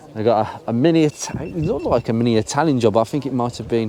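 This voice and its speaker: There is noticeable background noise as the speaker talks at a very fast pace. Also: man. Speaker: car enthusiast YouTuber. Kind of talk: casual commentary walking around a car show.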